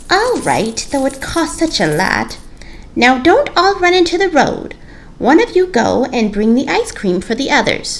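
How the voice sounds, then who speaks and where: A woman puts on a high-pitched character voice at a moderate pace. Her pitch swings very widely over clear background noise. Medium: read story. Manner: prim, fussy.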